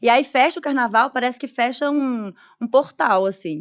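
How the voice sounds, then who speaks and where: A normal speaking voice at a fairly slow pace with ordinary pitch variation, recorded very cleanly against a silent background with a dry, close sound and no echo. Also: woman. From Brazil, Belo Horizonte. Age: 30s. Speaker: journalist and content creator. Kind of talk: podcast conversation. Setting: studio at a festival.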